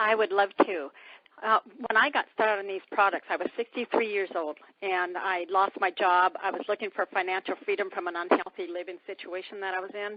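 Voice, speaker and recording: A woman's ordinary speaking voice, an ordinary speaking voice at medium pitch, fairly quick in pace, with fairly even intonation. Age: 60s. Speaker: weight-loss product distributor sharing testimony. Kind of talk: testimony. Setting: phone call.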